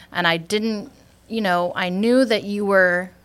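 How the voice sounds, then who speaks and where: A woman speaks in a Wisconsin accent at a fairly slow pace. Her intonation is fairly even, and the recording is very clean with a silent background. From northern Wisconsin, US Upper Midwest. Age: 20s. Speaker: insurance sales agent. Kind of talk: interview.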